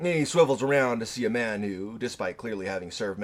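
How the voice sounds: Someone reads in a natural voice with lively intonation.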